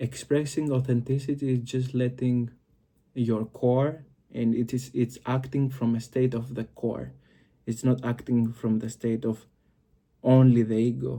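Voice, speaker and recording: With a Greek accent, a man speaks at medium pitch and a moderate pace. His tone is dark and mellow, his intonation monotone and flat. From Greece. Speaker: occult and psychology video creator. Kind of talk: explanatory monologue to camera. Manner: halting, many fillers.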